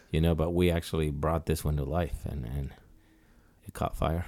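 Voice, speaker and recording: A man with a Mexican accent and a very deep, low pitch, at a moderate pace, in a very clean recording against a silent background. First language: Spanish. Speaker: designer and clothing brand founder. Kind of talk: casual chat. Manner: halting, with many repetitions.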